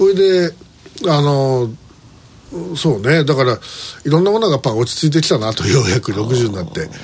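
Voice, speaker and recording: Over noticeable background noise, a man talks at a fairly quick pace in a fairly high pitch, with very wide pitch swings and long, frequent pauses. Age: 60s. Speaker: radio host. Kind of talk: casual chat.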